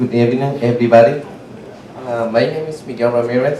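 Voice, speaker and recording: With a Spanish accent, a man talks at a moderate pace in a medium pitch with fairly even intonation, over noticeable background noise and audible room echo. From Guatemala. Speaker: adult English student and small business owner. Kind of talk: prepared testimony.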